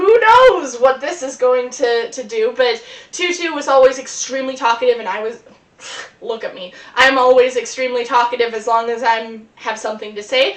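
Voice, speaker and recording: A woman speaks at a high pitch and moderate pace, with ordinary pitch variation and big swings in loudness. Noticeable background noise runs underneath. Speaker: performer. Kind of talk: improvised storytelling monologue. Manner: rambling, hesitant fillers.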